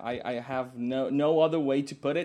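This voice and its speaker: Speaking at a fairly slow pace, a man uses a medium pitch and a dark, mellow tone. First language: not English. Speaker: music podcast co-host. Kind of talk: casual chat. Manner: halting, frequent repetitions.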